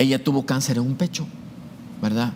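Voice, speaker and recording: A man talks in a medium pitch. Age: 60s. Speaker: university math professor. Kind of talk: testimony. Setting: show interview. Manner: hesitant, frequent fillers and repetitions.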